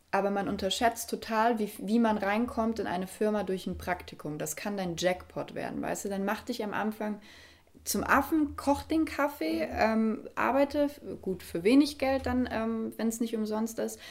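Moderately paced, a woman speaks with a fairly high pitch, ordinary pitch variation and an ordinary speaking voice. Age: 20s. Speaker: podcast and video interview host. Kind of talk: interview conversation.

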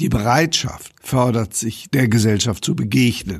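A man is speaking. His voice is somewhat breathy. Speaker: amateur theatre director. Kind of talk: interview. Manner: formal.

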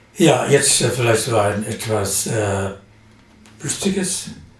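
Very slowly, a man speaks at a medium pitch with very wide pitch swings, while audible room echo and noticeable background noise surround him. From Saxony, Germany (Leipzig). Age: 70s. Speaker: poet and retired aesthetics professor. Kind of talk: interview. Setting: studio.

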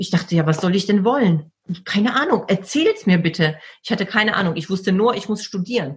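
Somewhat breathy, a woman talks at a fairly quick pace with a medium pitch and ordinary pitch variation. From Poland until age 12, then Germany. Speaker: personal development coach and speaker. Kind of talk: interview conversation.

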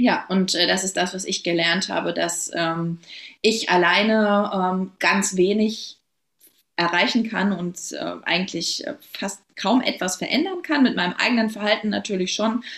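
Taking a fairly slow pace, a woman speaks at medium pitch with ordinary variation. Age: 30s. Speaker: local politician. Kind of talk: podcast interview. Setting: recording with her baby present.

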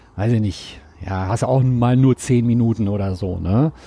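A man speaks with a dark, mellow tone at a fairly slow pace, with ordinary pitch variation. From Ruhr area, Germany. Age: 40s. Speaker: TV and radio presenter. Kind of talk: casual chat.

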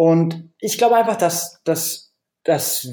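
A man speaks at a very slow pace. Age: 30s. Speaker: author and blogger. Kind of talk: interview. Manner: frequent repetitions and hesitations.

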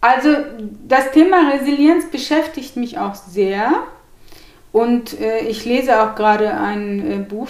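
The speech moves at a very slow pace. Echo from the room is audible. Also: woman. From Turkey (Gemlik), raised in Hannover, Germany. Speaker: journalist and author. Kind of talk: interview. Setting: at her home.

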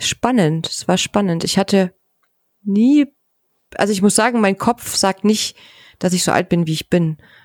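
Ordinary pitch variation at a fairly slow pace, broken by long, frequent pauses. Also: woman, medium pitch for a woman. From former East Germany. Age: 40s. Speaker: pediatric nurse. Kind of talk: casual chat.

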